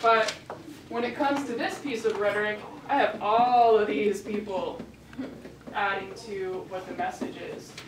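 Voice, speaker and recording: A woman speaks at a fairly slow pace with long, frequent pauses and a fairly high pitch. Her pitch varies in an ordinary way, with noticeable background noise and audible room echo. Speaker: teacher. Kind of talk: classroom lecture. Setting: classroom.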